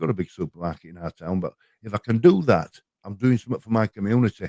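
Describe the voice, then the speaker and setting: Speech in a Yorkshire accent comes at a very fast pace with lively intonation. The sound is dry and close, with no echo. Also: man. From Yorkshire, northern England. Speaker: panel guest on a livestream chat. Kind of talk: casual chat. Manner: halting, with frequent repetitions.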